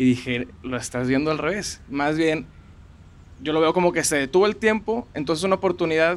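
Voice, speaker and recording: Using an ordinary speaking voice, a man talks at a fairly quick pace in a fairly high pitch with lively intonation. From Monterrey, Mexico. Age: 20s. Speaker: food content creator. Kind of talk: interview. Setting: outdoors in a park.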